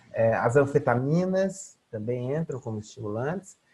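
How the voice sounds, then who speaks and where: Moving at a fairly slow pace, a man's voice makes very wide pitch swings. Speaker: psychology lecturer. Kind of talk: online lecture. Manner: halting, filler-heavy.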